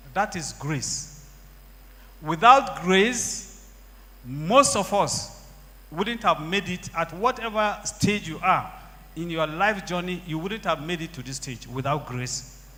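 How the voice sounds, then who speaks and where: Over noticeable background noise, a high-pitched man speaks very slowly with lively intonation and big swings in loudness. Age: 60s. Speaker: church member giving testimony. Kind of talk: testimony.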